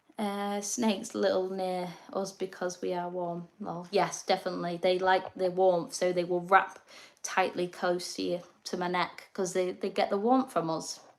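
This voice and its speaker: A woman speaks with an English accent. Her pitch is medium and her intonation fairly even. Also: moderate pace. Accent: quirky English. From northern England, North East Lincolnshire. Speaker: reptile keeper and livestreamer. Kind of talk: casual livestream chat. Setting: live stream at home.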